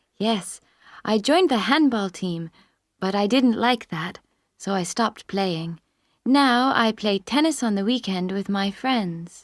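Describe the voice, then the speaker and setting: On a very clean recording with a silent background and a dry, close sound with no echo, a woman with an ordinary speaking voice talks fairly slowly at medium pitch with lively intonation. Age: 20s. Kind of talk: scripted listening exam dialogue.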